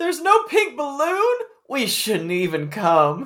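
A high-pitched put-on character voice at a fairly slow pace. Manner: sad, disappointed.

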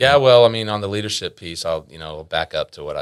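The speaker uses lively intonation and a fairly quick pace in an American accent. The recording is very clean with a silent background. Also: man. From Texas (Arlington). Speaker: sales director. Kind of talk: casual interview chat.

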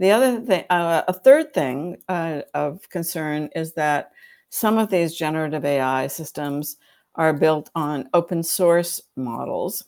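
On a very clean recording with a silent background, a woman with a plain, everyday voice and an American accent speaks at a fairly slow pace with ordinary pitch variation. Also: fairly low pitch for a woman. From United States. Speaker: law professor. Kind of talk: interview.

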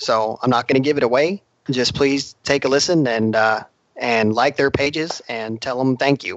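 In an American accent, a man with an unremarkable speaking voice talks at a moderate pace and medium pitch with ordinary pitch variation. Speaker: drag racer and podcast co-host. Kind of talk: casual interview.

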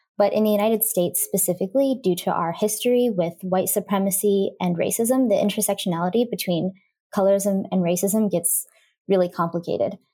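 Over a very clean recording with a silent background, a woman with an American accent talks at a fairly quick pace, her medium pitch and dark, mellow tone carrying fairly even intonation, very even loudness and a somewhat breathy quality. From Indiana, US Midwest. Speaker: transracial adoptee advocate. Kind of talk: interview conversation.

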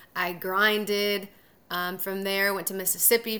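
With a Californian accent, a woman speaks at a fairly quick pace and medium pitch in a bright, sharp tone, her intonation monotone and flat. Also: very clean recording, silent background. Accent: Californian American. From Southern California. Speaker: TV sports anchor. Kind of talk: interview. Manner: casual, filler-heavy.

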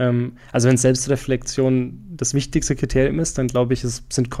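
A man of medium pitch with a slight Franconian accent speaks at a moderate pace in a dark, mellow tone. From Franconia, Germany. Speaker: PR professional and podcaster. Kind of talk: casual interview chat.

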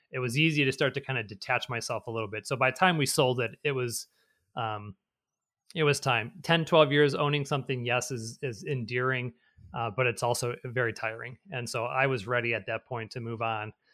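A man speaks fairly quickly at medium pitch, with fairly even intonation and a bright, sharp tone. The recording is very clean, with a silent background. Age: 40s. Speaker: tech entrepreneur. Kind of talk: interview.

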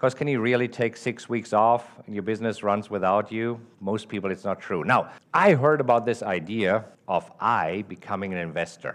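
Here is a man with an ordinary speaking voice. He keeps a moderate pace and ordinary pitch variation. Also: fairly low pitch for a man. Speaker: podcast host and trader. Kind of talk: podcast intro with a clip from a live event talk.

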